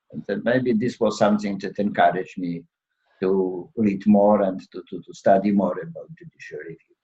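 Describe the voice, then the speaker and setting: A man speaks at a moderate pace in a fairly low pitch, with a dark, mellow tone and ordinary pitch variation. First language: Polish. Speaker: law professor and former judge. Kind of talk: interview. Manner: halting, many fillers.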